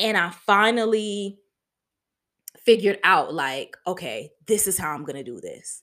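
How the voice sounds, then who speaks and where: Talking at a fairly slow pace with an American accent, a woman at medium pitch uses lively intonation and big swings in loudness, on a very clean recording with a silent background. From Harlem, New York. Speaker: podcast host. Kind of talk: casual monologue. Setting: home living room, alone.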